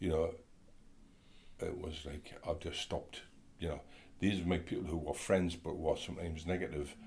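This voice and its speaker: Very deep and low, this man's somewhat breathy voice stays monotone and flat at a moderate pace, broken by long, frequent pauses. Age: 60s. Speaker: interview guest sharing mental health story. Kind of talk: casual interview. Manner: hesitant, many fillers.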